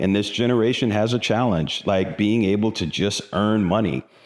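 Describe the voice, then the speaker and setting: A man speaks at a moderate pace with a fairly low pitch. It is an ordinary speaking voice over a quiet background. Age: 60s. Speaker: finance video host. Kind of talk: solo talk on personal finance. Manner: casual, conversational with fillers.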